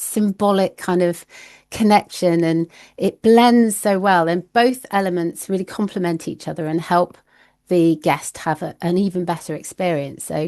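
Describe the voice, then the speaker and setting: A woman with a British accent speaks at a fairly slow pace in a dark, mellow tone against a quiet background. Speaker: glamping industry consultant. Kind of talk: podcast interview. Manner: animated.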